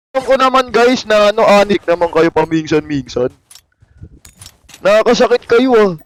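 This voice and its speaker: Lively intonation and very even loudness mark this moderately paced speech, which has long, frequent pauses and a dry, close sound with no echo. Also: man. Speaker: game streamer. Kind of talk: live gameplay stream chat. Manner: animated.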